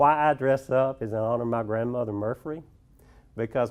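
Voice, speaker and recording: A man with an Alabama accent talks at a moderate pace, his medium pitch held in a fairly even intonation. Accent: Southern US (Alabama). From US South, rural central Alabama (Autauga County). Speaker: social worker at an HIV care nonprofit. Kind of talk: presentation.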